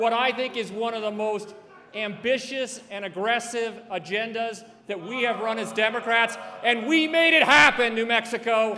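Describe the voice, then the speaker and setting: A man speaks in a raised, projected voice at extremely high pitch. He keeps a moderate pace with ordinary pitch variation. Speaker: politician. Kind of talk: introduction speech. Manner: loud.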